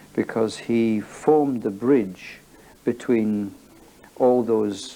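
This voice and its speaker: Using a Scottish accent, a man talks with a dark, mellow tone at medium pitch and ordinary pitch variation. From Scotland, Edinburgh area. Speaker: athletics coach. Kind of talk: interview.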